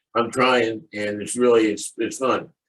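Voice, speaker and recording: A man's medium-pitched voice in a monotone, flat intonation at a moderate pace. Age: 60s. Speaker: client sharing success story. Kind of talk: interview testimony. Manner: halting, many fillers and repeats.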